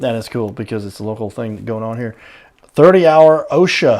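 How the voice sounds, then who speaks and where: With lively intonation and big swings in loudness, a man talks at a moderate pace in a normal speaking voice of medium pitch. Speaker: talk show host. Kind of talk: local business interview host.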